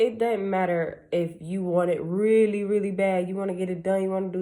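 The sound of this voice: In a fairly low pitch, a woman speaks with a dark, mellow tone and fairly even intonation.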